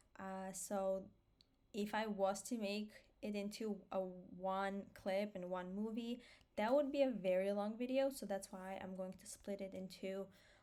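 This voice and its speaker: A woman's medium-pitched voice, dark and mellow in tone, at a fairly slow pace with fairly even intonation. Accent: Armenian. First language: Armenian. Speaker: vlogger. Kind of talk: personal vlog monologue. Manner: hesitant, many fillers.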